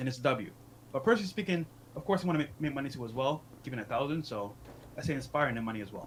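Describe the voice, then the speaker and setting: Somewhat breathy, the voice moves at a very fast pace with lively intonation. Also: man, fairly high pitch for a man. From Barbados. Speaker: podcaster. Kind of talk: casual chat.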